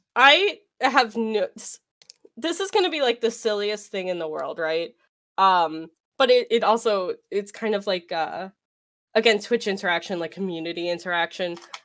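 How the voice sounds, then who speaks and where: A woman speaks in an unremarkable speaking voice at a medium pitch, with lively intonation and a moderate pace. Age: 20s. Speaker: streamer. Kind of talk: casual interview chat.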